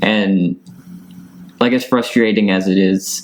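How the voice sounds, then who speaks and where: A man talks over noticeable background noise. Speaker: non-binary interviewee. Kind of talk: interview. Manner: casual, many filler words.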